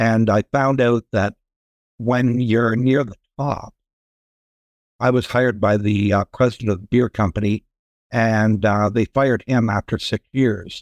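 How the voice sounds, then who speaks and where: A man with a Canadian accent speaks at a medium pitch and a fairly slow pace, with fairly even intonation. Long, frequent pauses break up the speech, and the sound is dry and close with no echo. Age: 60s. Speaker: sales and marketing expert. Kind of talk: podcast interview. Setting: video call.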